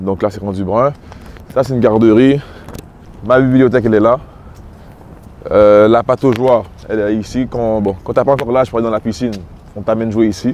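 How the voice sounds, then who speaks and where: A man with a Quebec accent talks at a fairly quick pace and medium pitch, with fairly even intonation, long, frequent pauses and noticeable background noise. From Quebec, Montreal (Little Burgundy). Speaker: rapper. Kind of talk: casual interview walking tour.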